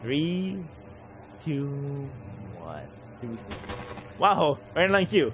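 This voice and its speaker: Against noticeable background noise, a man with a fairly high pitch speaks at a very slow pace, his pitch swinging very widely between long, frequent pauses. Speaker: gaming streamer. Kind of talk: live gameplay commentary. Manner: slurred, sometimes unintelligible.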